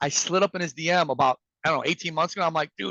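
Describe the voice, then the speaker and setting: This man talks at a very fast pace with a bright, sharp tone. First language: Farsi. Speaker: sales and communication coach. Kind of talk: presentation to an audience. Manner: animated.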